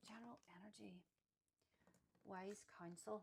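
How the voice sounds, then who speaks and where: Her medium-pitched voice shows vocal fry and ordinary pitch variation as a woman speaks. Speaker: tarot reader. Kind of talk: tarot pick-a-card reading to camera.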